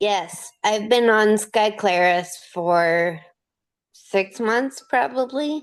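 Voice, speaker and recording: Against a quiet background, a woman talks very slowly at a fairly high pitch with lively intonation. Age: 30s. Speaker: interviewee with rare disease. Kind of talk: interview. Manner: slurred speech.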